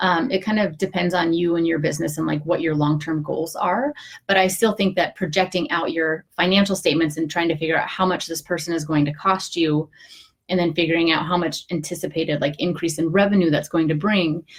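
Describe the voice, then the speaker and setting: Fairly low in pitch, a woman speaks at a fairly quick pace. Her voice is somewhat breathy, with fairly even intonation. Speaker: online business advisor (CPA). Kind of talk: live video tutorial. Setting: home office, live stream. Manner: fast; casual, many filler words.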